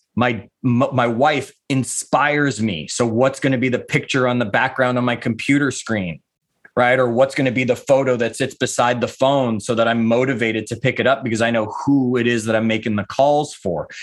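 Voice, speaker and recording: Here is a man with an unremarkable speaking voice at medium pitch. He keeps a moderate pace and fairly even intonation. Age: 50s. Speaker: author and life coach, former real estate agent. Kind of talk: casual interview.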